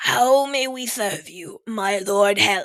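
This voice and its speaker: In a put-on character voice, a female-sounding voice at medium pitch speaks at a very slow pace. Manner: fearful, deferential.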